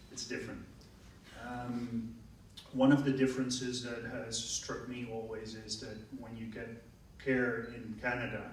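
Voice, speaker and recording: In a Dutch accent, a man at a medium pitch talks fairly slowly in a flat monotone, with long, frequent pauses and big swings in loudness, amid audible room echo and noticeable background noise. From Netherlands. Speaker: radiologist. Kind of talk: audience question at panel discussion.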